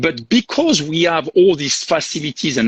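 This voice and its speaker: A man's fairly high voice with a French accent and very wide pitch swings. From southern France. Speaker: hotel sales and marketing director. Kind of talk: live interview. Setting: video call from the hotel property.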